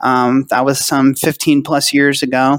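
Speaking with an American accent, a man goes at a very slow pace. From California. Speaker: retirement plan business owner. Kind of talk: interview. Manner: casual.

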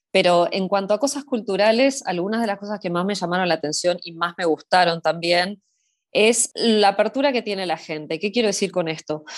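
Medium-pitched female voice, pitch varying in an ordinary way. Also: fairly quick pace. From Argentina, Buenos Aires city. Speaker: Argentine expat in Scotland, mountain hiker. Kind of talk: casual interview chat. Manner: hesitant, many repetitions and fillers.

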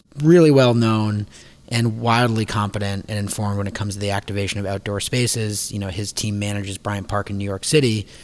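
With an ordinary speaking voice, a man talks at a moderate pace and fairly low pitch with fairly even intonation in a very clean recording with a silent background. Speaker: restaurant industry team member. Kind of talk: casual discussion. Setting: makeshift studio.

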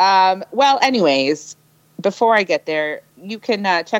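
Very wide pitch swings mark a woman's medium-pitched voice at a moderate pace, captured with a dry, close sound and no echo. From Ontario. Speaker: podcast co-host. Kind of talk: casual chat.

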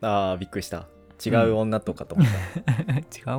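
Over background music, a man speaks at a moderate pace with a fairly low pitch. His intonation is lively and his loudness swings a lot. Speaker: podcast co-host; doctoral university student.

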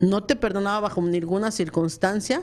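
A woman speaks in a plain, everyday voice at medium pitch and a moderate pace. Her pitch variation is ordinary. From Mexico. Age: 40s. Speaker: businesswoman and former radio producer. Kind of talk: casual interview. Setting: radio studio.

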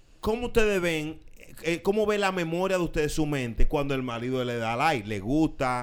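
This man has a fairly high pitch and his voice swings very widely up and down. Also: moderate pace. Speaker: radio host. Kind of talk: casual chat.

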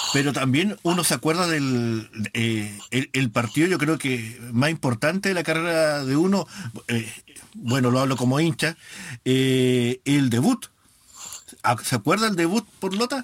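Delivered in a plain, everyday voice, the speech moves at a fairly slow pace with lively intonation and very even loudness. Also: man, fairly high pitch for a man. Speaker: online radio host of a football fan show. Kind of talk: casual radio talk and interview.

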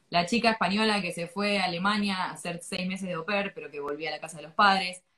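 Speaking very fast, a woman holds a medium pitch. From Argentina. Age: 20s. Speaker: English teacher. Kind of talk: interview. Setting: live stream.

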